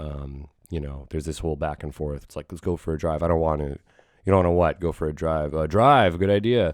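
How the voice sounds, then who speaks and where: At a fairly quick pace and with ordinary pitch variation, the speaker comes through over a quiet background. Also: man, very deep, low pitch for a man. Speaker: podcast host. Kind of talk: casual chat. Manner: rambling, filler-heavy.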